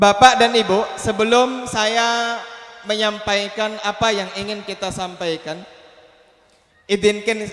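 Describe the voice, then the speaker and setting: A man speaks in a high pitch with monotone, flat intonation. His pace is fairly slow, and there is noticeable background noise. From Aceh, Indonesia. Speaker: Islamic preacher. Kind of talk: sermon.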